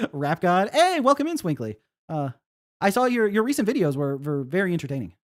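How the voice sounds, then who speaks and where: This man has a high-pitched voice. His pitch swings very widely. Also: dry, close sound with no echo, very clean recording, silent background. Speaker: indie game developer and streamer. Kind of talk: casual live stream chat. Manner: fast.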